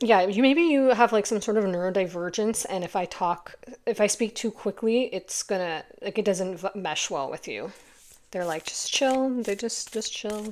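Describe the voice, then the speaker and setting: A woman speaks at a medium pitch. Her pitch varies in an ordinary way. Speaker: tarot reader. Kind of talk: tarot reading monologue. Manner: slowed-down, calm pace.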